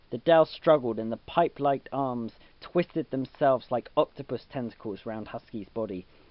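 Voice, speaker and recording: A man talks at a moderate pace in a normal speaking voice. His pitch is medium, with ordinary pitch variation. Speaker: amateur storybook reader. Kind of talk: dramatic reading of a children's story.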